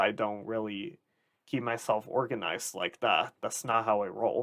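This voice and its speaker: A man at medium pitch talks at a fairly slow pace with a bright, sharp tone. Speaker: YouTuber. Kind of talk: casual monologue. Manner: rambling, jumps between topics; halting, stammers and restarts.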